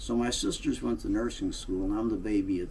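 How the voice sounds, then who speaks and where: A man with a St. Louis accent at a fairly quick pace, with audible room echo. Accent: Midwestern American (St. Louis). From US Midwest, St. Louis, Missouri. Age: 80s+. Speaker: political blogger, Navy veteran. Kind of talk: casual monologue, reminiscing. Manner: halting, many fillers.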